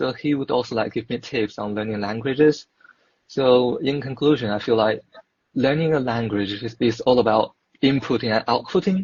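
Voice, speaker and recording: A somewhat breathy man with a Mandarin accent, medium pitch, ordinary pitch variation and a moderate pace. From China. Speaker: dietetics student. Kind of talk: casual chat. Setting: online live video chat.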